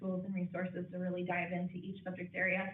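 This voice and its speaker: Through noticeable background noise and audible room echo, a woman with an American accent talks at a fairly quick pace. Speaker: branch manager of a library. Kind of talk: board meeting report. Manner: fast.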